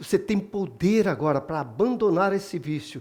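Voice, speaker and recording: Ordinary pitch variation from a male speaker at a fairly slow pace. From Brazil (born in Bahia, moved to Minas Gerais). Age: 60s. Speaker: church member giving testimony. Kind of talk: testimony.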